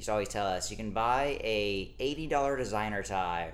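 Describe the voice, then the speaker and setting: The speaker has an American accent and talks at a fairly quick pace. There is audible echo in the room. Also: man. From Texas, Dallas suburbs. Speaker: podcast guest, former oil industry worker. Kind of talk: casual chat.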